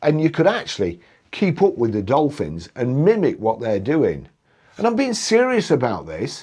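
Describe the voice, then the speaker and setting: In a British accent, a man speaks at a moderate pace in an animated tone with very wide pitch swings, against a quiet background. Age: 60s. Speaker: YouTuber. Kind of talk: casual video review.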